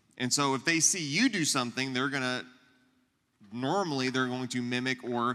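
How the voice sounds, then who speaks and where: The voice is loud with a bright, sharp tone, in a very clean recording with a silent background. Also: man. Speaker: youth pastor. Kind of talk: church teaching talk to audience. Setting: church luncheon with live audience. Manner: loud, projecting to room.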